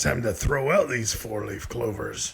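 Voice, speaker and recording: A man uses a raspy, put-on character voice at a medium pitch. He speaks at a moderate pace. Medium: machinima. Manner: simple, broken grammar, talks about himself in third person.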